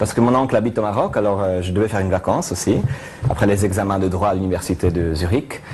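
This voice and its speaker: With a strong Italian accent, a fairly low-voiced man talks very fast and with fairly even intonation over noticeable background noise. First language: Italian (speaking French). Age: 20s. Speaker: mentalist performer. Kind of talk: TV talk show interview. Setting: TV studio. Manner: halting, many hesitations.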